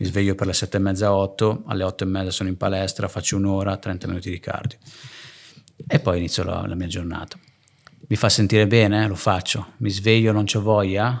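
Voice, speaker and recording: Fairly quick speech with long, frequent pauses comes from a man with a fairly low pitch. His intonation is fairly even, and the background is quiet. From northern Italy (Lake Garda area), born in Naples; Northern Italy. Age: 30s. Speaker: entrepreneur, hair transplant clinic owner; podcast guest. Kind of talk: casual interview chat; interview answer. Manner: halting, frequent repetitions and fillers. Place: home room. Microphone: studio mic.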